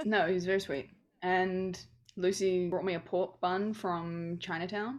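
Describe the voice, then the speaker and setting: A woman at a fairly slow pace with a New Zealand accent. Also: medium pitch for a woman, fairly even intonation. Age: 20s. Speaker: podcast co-host. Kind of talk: casual chat. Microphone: unstable internet connection.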